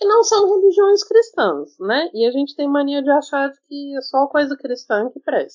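Pitch rises and falls across a very wide range. The delivery moves at a moderate pace. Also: woman. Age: 30s. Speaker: candomblé practitioner and mother. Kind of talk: casual chat.

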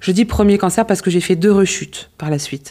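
Ordinary pitch variation marks the dark, mellow tone of a woman's voice. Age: 40s. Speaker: insurance consultant and association founder. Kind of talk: radio interview.

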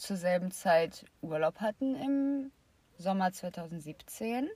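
A woman's somewhat breathy voice moves at a very slow pace. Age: 20s. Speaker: podcast co-host. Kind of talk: casual chat.

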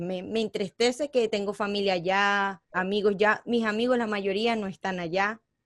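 With a Venezuelan accent, a woman of medium pitch speaks with fairly even intonation in a very clean, silent recording that sounds dry and close with no echo. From Venezuela (born in Colombia). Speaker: DJ and media personality. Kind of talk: casual interview.

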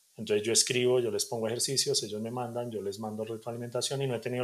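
A very clean recording with a silent background, carrying very fast speech and ordinary pitch variation. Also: man. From Colombia, Bogotá (Suba); early childhood in Cali. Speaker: punk fiction writer. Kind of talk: casual interview.

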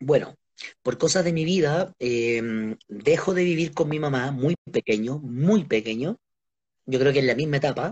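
A man with a Chilean accent talks at a fairly slow pace, his pitch fairly high and his intonation lively. His voice is somewhat breathy. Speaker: interviewee, friend of host. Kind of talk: casual live-stream interview. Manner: animated.

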